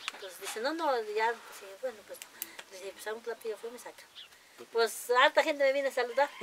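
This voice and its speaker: A woman with a high voice talks very fast, her loudness swinging widely and her pitch varying normally, with long, frequent pauses over light background noise. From Mexico, Tlaxcala. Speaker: farmer and cooking contest winner. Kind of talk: interview. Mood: warm, cheerful storytelling. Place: farm. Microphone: lapel.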